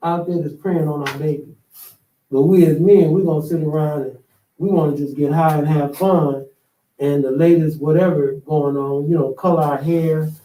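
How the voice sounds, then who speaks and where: The man has a dark, mellow tone and ordinary pitch variation. He keeps a moderate pace. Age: 60s. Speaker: podcast host. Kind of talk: casual chat. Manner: animated.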